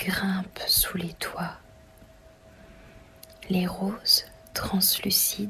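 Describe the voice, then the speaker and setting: Soft-spoken whispering at a very slow pace amid noticeable background noise. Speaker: ASMR reader. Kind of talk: novel reading. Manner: whispered, soft, relaxing.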